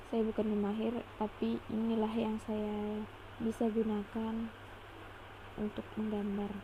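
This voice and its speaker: Speaking very slowly with long, frequent pauses, a woman keeps a monotone, flat intonation at a fairly high pitch, with noticeable background noise behind her. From Indonesia, Pontianak (West Kalimantan). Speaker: drawing tutorial creator. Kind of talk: tutorial. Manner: halting.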